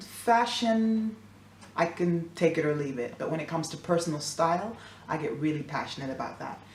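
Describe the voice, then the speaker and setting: This woman has a fairly low pitch and an American accent, speaking at a moderate pace with lively intonation. Noticeable background noise and audible room echo are present. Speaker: singer-songwriter and beauty vlogger. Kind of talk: makeup tutorial. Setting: at home, near the fridge. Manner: chatty, casual.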